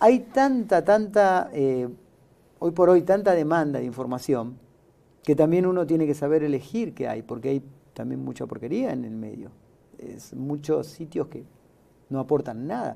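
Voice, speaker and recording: A man's fairly high voice, fairly slow, with lively intonation, a dark, mellow tone, big swings in loudness and long, frequent pauses. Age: 50s. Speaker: podcast host. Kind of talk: interview show hosting. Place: studio. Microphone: lapel.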